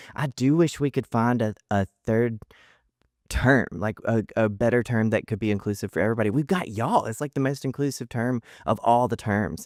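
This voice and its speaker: With a Southern US accent, a man speaks at a moderate pace with a medium pitch and ordinary pitch variation. The recording is dry and close, with no echo. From US South, Mississippi. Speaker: comedian and author. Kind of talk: casual chat. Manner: halting, many restarts.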